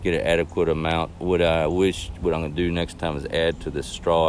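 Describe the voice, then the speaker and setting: A man speaks at a fairly quick pace with a very deep, low pitch. His intonation is monotone and flat. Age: 60s. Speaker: novice hiker sharing gear lessons. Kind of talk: casual gear review talk. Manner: hesitant, many fillers.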